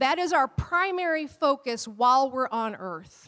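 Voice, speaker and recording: Loud and animated, a woman talks with lively intonation in a high pitch at a fairly slow pace, on a very clean recording with a silent background. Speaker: pastor. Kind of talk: sermon. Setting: church.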